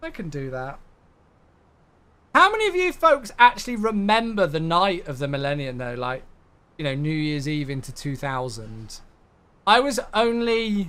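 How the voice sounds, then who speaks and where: A man with a British accent speaks in a bright, sharp, animated tone, his pitch swinging very widely, at a fairly slow pace with long, frequent pauses. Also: big swings in loudness. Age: 20s. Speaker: flight sim streamer. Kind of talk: casual live stream chat.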